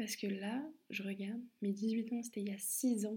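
A woman speaks at a fairly high pitch with a dark, mellow tone. Her voice is somewhat breathy, and her intonation is flat and monotone. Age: 20s. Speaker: podcaster. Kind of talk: personal monologue.

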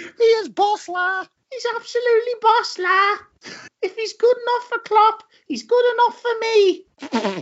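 In a put-on character voice with a Liverpool accent, the speech comes out squeaky and extremely high in pitch at a fairly slow pace. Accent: Liverpool Scouse. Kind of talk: casual, enthusiastic.

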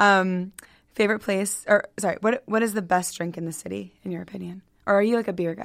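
A woman with an American accent speaks at a fairly quick pace and medium pitch, her intonation fairly even and her loudness swinging widely. Hers is an unremarkable speaking voice. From Baltimore County, Maryland. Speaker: podcast host. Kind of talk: interview.

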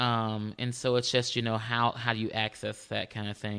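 Speaking very fast with an American accent, a man keeps a monotone, flat intonation. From Houston, Texas. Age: 30s. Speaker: countertenor and college teacher. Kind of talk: casual interview chat.

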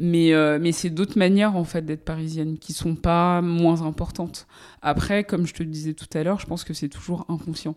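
A woman with a fairly low voice speaks at a moderate pace in a flat, monotone way, recorded very cleanly against a silent background. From Paris suburbs, France. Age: 30s. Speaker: journalist and podcast host. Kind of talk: interview. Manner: hesitant, many fillers.

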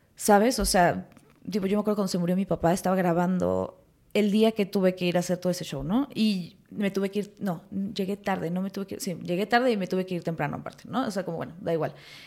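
The speech races at a very fast pace. Intonation stays fairly even. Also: woman, medium pitch for a woman. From Mexico City and Morelos. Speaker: actress. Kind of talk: casual chat.

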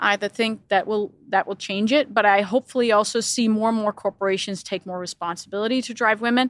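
A woman with a Danish accent speaks at a very fast pace with hardly any pauses, using a fairly high pitch and fairly even intonation, in a dry, close recording with no echo. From Denmark. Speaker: business executive. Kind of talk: interview.

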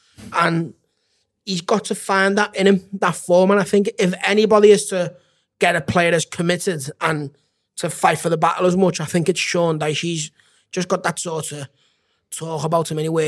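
With a silent background on a very clean recording, a man at a high pitch speaks at a moderate pace with fairly even intonation. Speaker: football fan pundit. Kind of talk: casual chat.

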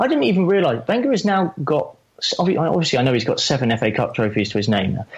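A man speaks at a very fast pace with a fairly high pitch. His pitch swings very widely, yet his loudness stays very even. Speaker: football fan. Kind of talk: casual chat.

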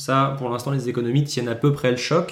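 A medium-pitched man at a fairly quick pace, with audible room echo. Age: 20s. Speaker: podcast host, portfolio manager. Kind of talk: solo market commentary. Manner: casual, hesitant with frequent repetitions.

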